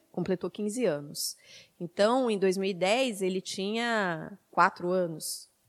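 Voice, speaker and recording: Speaking very slowly at a medium pitch with ordinary pitch variation, a woman is heard in a dry, close recording with no echo, very clean and with a silent background. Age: 40s. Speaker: media activist, panelist. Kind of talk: panel talk.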